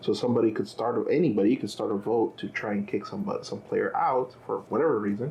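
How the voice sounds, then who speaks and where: A man talks at a very fast pace. He has a non-native accent. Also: hardly any pauses. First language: not English. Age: 30s. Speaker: husband of channel host. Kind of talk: casual chat.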